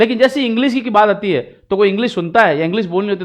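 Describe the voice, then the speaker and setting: The intonation is lively. A man speaks at a high pitch. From Rajasthan, India (Marwari). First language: Marwari (speaking Hindi). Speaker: English teacher. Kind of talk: tutorial. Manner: code-switching Hindi and English.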